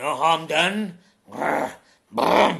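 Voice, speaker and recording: A put-on character voice from a man, raspy, gruff and growling, pitched fairly high. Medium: read story. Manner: gruff, grunting.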